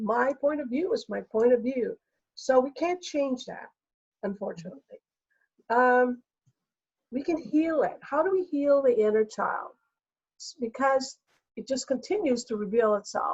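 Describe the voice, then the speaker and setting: Her high-pitched voice rises and falls with lively intonation as the woman speaks at a fairly slow pace, with long, frequent pauses and big swings in loudness. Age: 60s. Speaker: energy healer. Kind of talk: interview.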